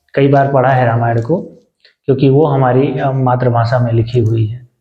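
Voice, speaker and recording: This man talks at a medium pitch, and audible echo from the room surrounds him. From Ayodhya area, Uttar Pradesh, India. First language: Awadhi (speaking Hindi). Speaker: vlogger. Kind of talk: casual vlog talk to camera. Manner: halting, many fillers.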